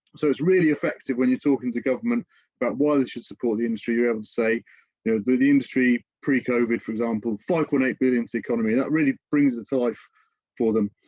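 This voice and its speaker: At a very fast pace, a man with a British accent speaks in a medium pitch with ordinary pitch variation. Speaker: music industry education director. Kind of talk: webinar presentation. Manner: hesitant with fillers.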